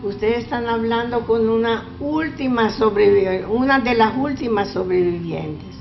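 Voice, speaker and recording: A woman at a fairly slow pace, with music in the background. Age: 80s+. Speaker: Holocaust survivor. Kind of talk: testimony. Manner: halting.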